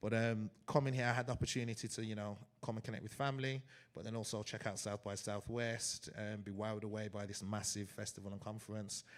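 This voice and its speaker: With an English accent, a man with a fairly low pitch speaks at a very fast pace in a monotone, flat intonation on a very clean recording with a silent background. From England, Wolverhampton (West Midlands). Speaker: DJ and event promoter. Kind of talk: live panel conversation. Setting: stage with live audience.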